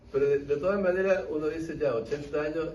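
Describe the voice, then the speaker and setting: With audible room echo, a man talks at a moderate pace with lively intonation. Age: 80s+. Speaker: historian and author. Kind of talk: book talk Q&A.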